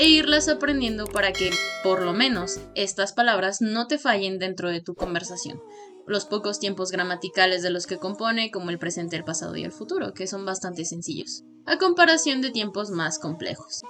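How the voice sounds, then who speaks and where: Over background music, a woman with a Mexican accent talks at a medium pitch with very wide pitch swings. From Mexico. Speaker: language learning youtuber. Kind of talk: educational talk to camera.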